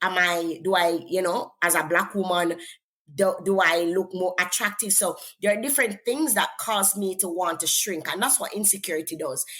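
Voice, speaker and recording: A woman speaks at a moderate pace with a Jamaican accent, her medium-pitched voice bright and sharp, with ordinary pitch variation. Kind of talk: interview testimony.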